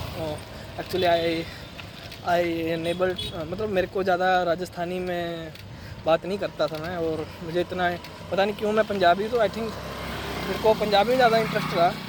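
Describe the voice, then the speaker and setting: A high-pitched man with a Punjabi accent, long, frequent pauses and noticeable background noise. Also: moderate pace. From Punjab, India. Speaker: vlogger. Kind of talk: casual vlog. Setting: outdoors, riding on the road. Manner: conversational, with fillers and Hindi-English mixing.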